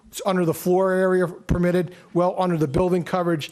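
A man's high voice comes quickly, with noticeable background noise behind it. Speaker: planner. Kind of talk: expert testimony. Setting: public meeting hall. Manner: fast.

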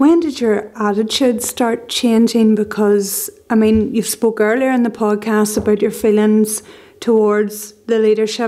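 Against a quiet background, a woman speaks fairly slowly in a fairly high, dark and mellow voice with flat, monotone intonation. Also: very even loudness. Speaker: podcast host and journalist; podcast host, journalist. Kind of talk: interview. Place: home room. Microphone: studio mic.

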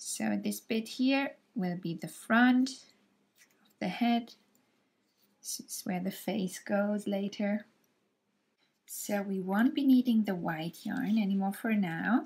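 On a very clean recording with a silent background, a woman speaks in a calm tone at a very slow pace with long, frequent pauses, her somewhat breathy voice at medium pitch with ordinary pitch variation. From Germany. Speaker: crochet tutorial creator. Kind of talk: tutorial. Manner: calm, friendly and explanatory.

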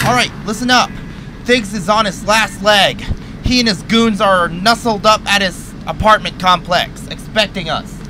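A man's gruff, put-on character voice, high-pitched, at a moderate pace over clear background noise. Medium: machinima. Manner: gruff, urgent, profane.

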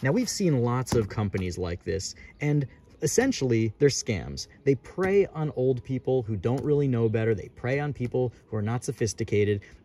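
A man speaks at a moderate pace in a dark, mellow, somewhat breathy tone. The sound is dry with no echo, and there is light background noise. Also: lively intonation. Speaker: coin dealer youtuber. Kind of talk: casual vlog chat. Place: garden. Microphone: phone near.

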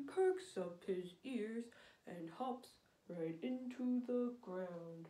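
A female-sounding put-on character voice speaks at a very slow pace. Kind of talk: children's rhyme.

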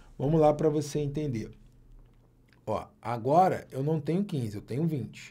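A man's fairly high, somewhat breathy voice in a dark, mellow tone, fairly slow, with ordinary pitch variation. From Brazil. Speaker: math teacher for exam prep. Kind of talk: online video lesson. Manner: animated. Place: office.

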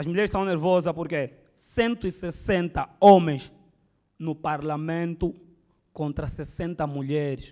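In an Angolan accent, a man speaks at a very slow pace in a high pitch, his tone dark and mellow and his pitch variation ordinary. The background is quiet. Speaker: stand-up comedian. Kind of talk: stand-up comedy, political satire. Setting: stage with audience. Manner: conversational, rhetorical questions to audience. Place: hall. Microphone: handheld.

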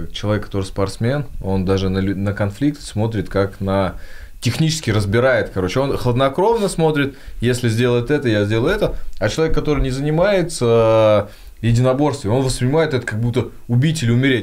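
A man speaks at a moderate pace with lively intonation and very even loudness. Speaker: podcast host. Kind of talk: casual interview. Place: studio. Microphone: studio mic.

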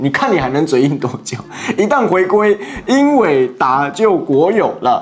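A high-pitched male voice over faint music in the background. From Taiwan. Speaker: YouTuber political commentator; political commentary YouTuber. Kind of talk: commentary monologue. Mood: mocking, sarcastic. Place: studio. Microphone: lapel.

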